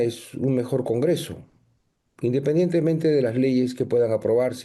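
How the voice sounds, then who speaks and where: A man's dark, mellow voice at medium pitch, with ordinary pitch variation and a moderate pace. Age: 60s. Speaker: political candidate. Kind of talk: TV interview.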